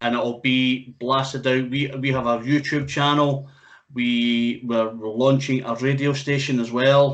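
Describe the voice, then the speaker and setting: A man's medium-pitched, monotone voice with a strong Scottish accent, at a fairly slow pace with flat intonation. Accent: thick Scottish. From Scotland. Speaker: music interviewer and radio host. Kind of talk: casual interview chat.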